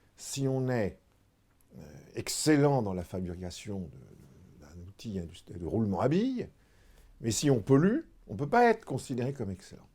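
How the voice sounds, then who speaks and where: A man at medium pitch talks at a fairly slow pace, with long, frequent pauses. His pitch swings very widely and his loudness swings a lot. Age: 60s. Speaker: retired insurance executive. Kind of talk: interview. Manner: hesitant, frequent fillers.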